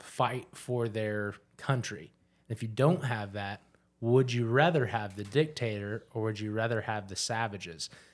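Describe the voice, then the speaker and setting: A plain, everyday voice from a man, medium in pitch, with fairly even intonation and a moderate pace on a very clean recording with a silent background. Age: 30s. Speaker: podcast host. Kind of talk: casual chat.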